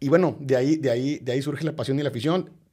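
A man speaks at a very fast pace in a medium pitch, his tone dark and mellow. His intonation stays fairly even, and the recording is very clean with a silent background. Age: 40s. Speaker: football fan and political scientist. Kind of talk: interview. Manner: halting, many repetitions.

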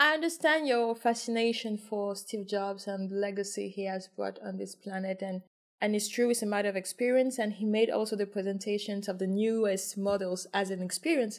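A woman's medium-pitched voice, a plain, everyday voice with ordinary pitch variation and hardly any pauses. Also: fairly quick pace. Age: 30s. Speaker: podcast host. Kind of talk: casual interview chat; scripted intro.

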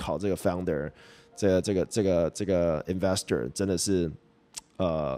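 The sound is dry and close, with no echo. The voice is a man's. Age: 20s. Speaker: crypto podcast host. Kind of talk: casual solo commentary. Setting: video recording. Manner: filler-heavy, hesitant.

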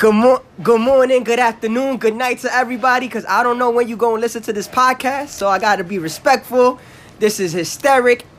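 A man with a New York accent talks at a very fast pace. His pitch is extremely high. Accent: New York City. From Brownsville, Brooklyn, New York. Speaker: podcast co-host. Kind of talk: casual chat. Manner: animated, crude humor.

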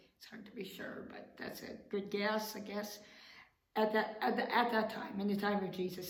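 There is audible room echo on this woman's voice. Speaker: pastor. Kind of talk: sermon.

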